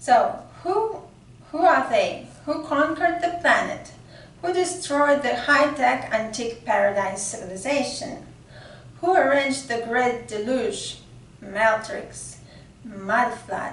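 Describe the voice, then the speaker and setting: Pitch swings very widely as a woman speaks high and very slowly, with audible room echo and noticeable background noise. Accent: non-native. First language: not English. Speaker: occult mythology researcher, channel host. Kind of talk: reading a prepared article aloud. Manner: halting, with fillers.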